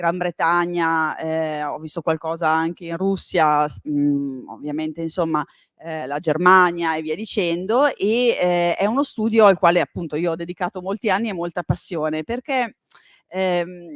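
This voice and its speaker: A fairly slow delivery with ordinary pitch variation, in a dry, close sound with no echo. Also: woman, fairly low pitch for a woman. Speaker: history professor. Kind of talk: lecture. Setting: library lecture hall with live audience. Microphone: uses microphone, initially too quiet.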